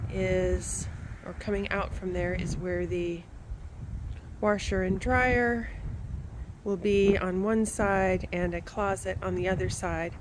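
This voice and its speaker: Amid noticeable background noise, a woman talks at a very slow pace with long, frequent pauses. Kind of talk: casual walkthrough tour. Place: open country. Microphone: phone near.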